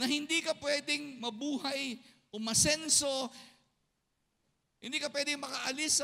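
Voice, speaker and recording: Using a raised, projected voice at an extremely high pitch, a man speaks at a fairly slow pace. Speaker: pastor. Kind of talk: sermon. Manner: loud; animated.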